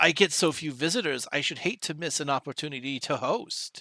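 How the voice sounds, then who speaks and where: Using a raspy, put-on character voice, a man speaks at a fairly quick pace and a fairly high pitch in a very clean recording with a silent background. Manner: fussy, anxious, welcoming.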